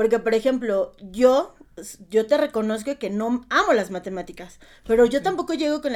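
Her pitch is fairly high, with lively intonation and a moderate pace. This woman has a plain, everyday voice. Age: 30s. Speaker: primary school teacher. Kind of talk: casual interview.

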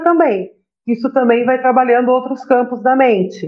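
This is a woman speaking. Her pitch is high. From Brazil, São Paulo. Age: 40s. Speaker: holistic therapist. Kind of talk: casual chat.

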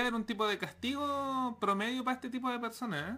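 A bright, sharp tone moves along at a moderate pace. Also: man. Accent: Chilean. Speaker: podcast host. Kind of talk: casual chat. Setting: studio. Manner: soothing.

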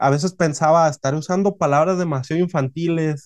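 This man has a plain, everyday voice and fairly even intonation. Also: dry, close sound with no echo. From northwestern Mexico (Hermosillo, Sonora). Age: 20s. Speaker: novelist and sushi chef. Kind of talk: interview.

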